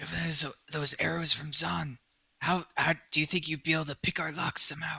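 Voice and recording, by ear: A man's whispering, raspy put-on character voice at a fairly quick pace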